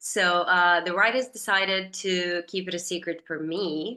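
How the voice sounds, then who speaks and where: The speaker has a Serbian accent and a bright, sharp tone. Intonation stays fairly even. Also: woman. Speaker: actress. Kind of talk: interview.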